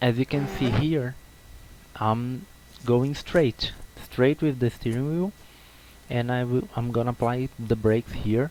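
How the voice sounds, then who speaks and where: A man with a Brazilian accent speaks at a fairly slow pace, his pitch medium and his pitch movement ordinary. Long, frequent pauses break up his speech, and noticeable background noise is present. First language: Portuguese. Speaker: sim racing video creator. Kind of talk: tutorial. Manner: halting, with repetitions.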